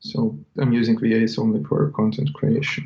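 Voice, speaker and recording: A man with a non-native accent, a dark, mellow tone, medium pitch, ordinary pitch variation and a fairly slow pace. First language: not English. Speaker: website seller. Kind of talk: interview.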